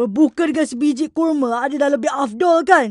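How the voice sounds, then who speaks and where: A cartoonish character voice rattles along at a fairly quick pace. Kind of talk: comic cartoon villain dub. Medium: fan dub. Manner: preachy, scolding, then threatening.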